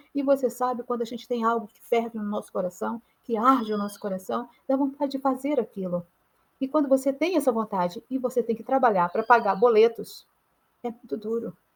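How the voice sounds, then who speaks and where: A woman talks fairly quickly at a fairly high pitch with ordinary pitch variation and big swings in loudness. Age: 60s. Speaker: artist and mentor. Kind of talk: motivational talk. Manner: halting.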